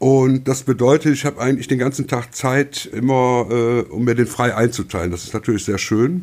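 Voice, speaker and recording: At a moderate pace and with hardly any pauses, a man speaks in a normal speaking voice of medium pitch with ordinary pitch variation. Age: 50s. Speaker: podcast guest, newspaper deliverer. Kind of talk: casual chat.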